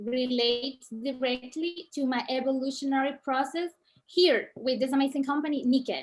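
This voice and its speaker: The speaker has a Colombian accent and fairly even intonation. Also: woman, high pitch for a woman, moderate pace. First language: Spanish. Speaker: network marketing distributor. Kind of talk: reading aloud.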